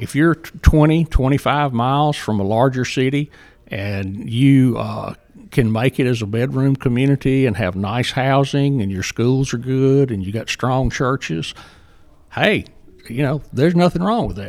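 A man speaks at a medium pitch with a Southern US accent. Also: ordinary pitch variation, moderate pace. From Jackson, Mississippi. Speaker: economic development director. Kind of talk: interview conversation.

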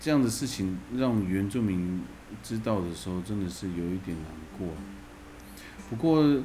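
A man speaks with a very deep, low pitch and a dark, mellow tone. His pace is fairly slow, his intonation lively, and his pauses long and frequent. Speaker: podcast co-host. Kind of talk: casual chat.

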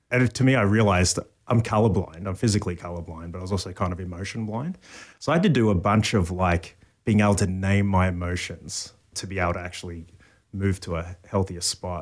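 Very fast and in an Australian accent, a man with a very deep, low pitch talks with fairly even intonation on a very clean recording with a silent background. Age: 40s. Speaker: pastor. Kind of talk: casual chat. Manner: halting.

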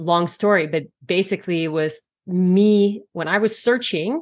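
A woman with a Canadian accent, a normal speaking voice, fairly low in pitch, over a quiet background. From Canada. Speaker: naturopathic doctor. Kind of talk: interview.

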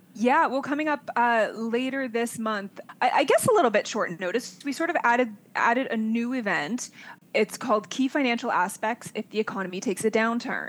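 A woman's fairly high-pitched, an unremarkable speaking voice. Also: ordinary pitch variation, fairly quick pace. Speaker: show team member. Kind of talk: casual chat.

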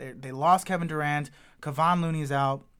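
This man has a plain, everyday voice, fairly high in pitch with ordinary pitch variation, recorded very cleanly against a silent background. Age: 30s. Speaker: podcast host and stand-up comedian. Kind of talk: casual chat.

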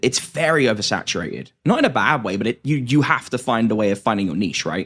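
In an English accent, a man at medium pitch talks at a fairly quick pace with lively intonation, on a very clean recording with a silent background. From England. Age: 20s. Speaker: podcast host. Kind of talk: casual interview chat.

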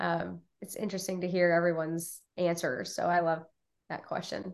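A woman talks in a normal speaking voice at medium pitch and a moderate pace. The background is quiet. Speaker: podcast host. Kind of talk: casual interview.

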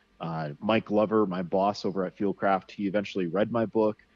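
A man with an American accent speaks in a plain, everyday voice at a fairly low pitch. His intonation stays fairly even and his pace moderate. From US Northeast, Connecticut. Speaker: survival instructor and outdoorsman. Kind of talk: casual interview chat. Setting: remote online interview.

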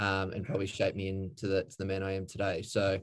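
Speaking fairly quickly with an Australian accent, a man with a fairly low pitch is heard against a quiet background. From Queensland, Australia (Redlands). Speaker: former professional footballer. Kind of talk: casual interview. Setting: online call.

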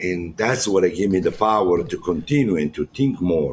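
A man's very deep, low voice with a strong Italian accent, at a moderate pace and with ordinary pitch variation. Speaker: chef and founder of a jail cooking program. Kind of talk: casual chat.

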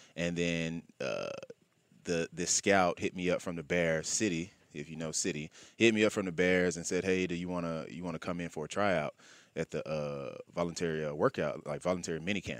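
Over a very clean recording and silent background, a man with an Alabama accent speaks fairly quickly in a very deep, low pitch with fairly even intonation. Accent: Southern US (Alabama). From US South, Birmingham, Alabama. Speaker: pro football player. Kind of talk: interview. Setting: studio.

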